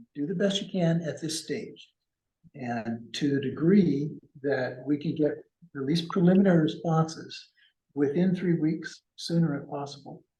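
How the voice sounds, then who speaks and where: A man's fairly high voice with a dark, mellow tone, ordinary pitch variation and audible room echo. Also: moderate pace. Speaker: financial consultant. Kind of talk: business presentation. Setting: public meeting in city hall, also on Zoom. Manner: halting.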